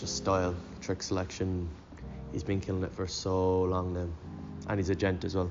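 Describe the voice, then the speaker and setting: A man speaks in a Cork accent. His pitch is very deep and low. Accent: Cork Irish. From Cork, Ireland. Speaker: skateboarder. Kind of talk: interview.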